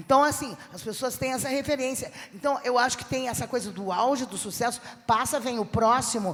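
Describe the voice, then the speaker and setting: At a moderate pace, a woman with a fairly high pitch uses an ordinary speaking voice with lively intonation. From southern Brazil (Rio Grande do Sul). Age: 60s. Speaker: comedian. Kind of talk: panel discussion.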